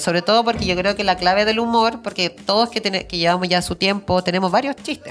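A woman's medium-pitched voice shows ordinary pitch variation while noticeable background noise carries on. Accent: Chilean. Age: 30s. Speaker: comedian. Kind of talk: casual chat.

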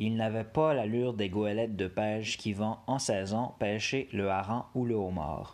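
Against a quiet background, a man with a Quebec accent talks at medium pitch and a fairly slow pace. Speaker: storyteller reading tales aloud. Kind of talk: dramatic storytelling narration of a folk tale, read aloud with suspense. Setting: solo home recording on an app. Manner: casual, jokey, self-deprecating in the intro and outro.

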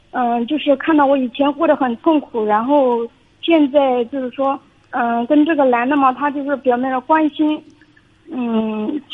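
With noticeable background noise, a woman speaks at a moderate pace with high pitch and fairly even intonation. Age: 30s. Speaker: caller. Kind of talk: phone-in consultation. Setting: phone call. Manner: halting. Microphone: echo on the line.

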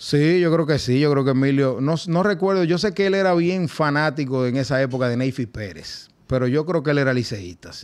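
The background stays quiet. A man's pitch varies in an ordinary way. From Dominican Republic. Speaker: baseball team general manager. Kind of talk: casual interview.

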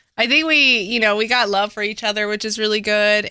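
In an American accent, a woman speaks at a fairly high pitch with a bright, sharp tone. The recording is very clean, with a silent background. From Dallas, Texas (Oak Cliff). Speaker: event organizer. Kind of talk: casual chat.

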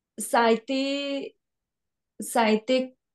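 A woman with a Spanish accent talks with a fairly even intonation. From Colombia. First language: Spanish (speaking French). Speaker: dancer and choreographer. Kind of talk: casual interview.

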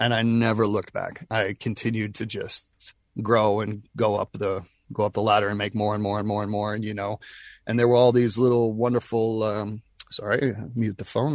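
Over a quiet background, a man with an American accent talks fairly quickly at medium pitch with monotone, flat intonation. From US South, Nashville. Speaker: voice actor. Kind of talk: casual chat.

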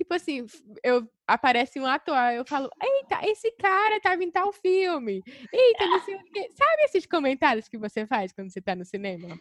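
A woman's high voice shows very wide pitch swings and big swings in loudness, with a dry, close sound and no echo. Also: moderate pace. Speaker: podcast co-host. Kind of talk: casual chat.

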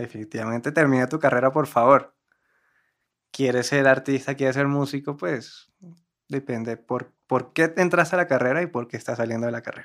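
A man speaks at a moderate pace with medium pitch and ordinary pitch variation. The recording is very clean, with a silent background. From Cartagena, Colombia. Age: 20s. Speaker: musician in a band. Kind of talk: casual chat.

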